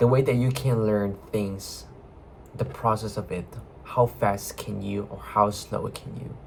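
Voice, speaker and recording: Over noticeable background noise, a man with a non-native accent speaks at a fairly slow pace, with lively intonation and big swings in loudness. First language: not English. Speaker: video blogger. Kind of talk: casual monologue. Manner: halting.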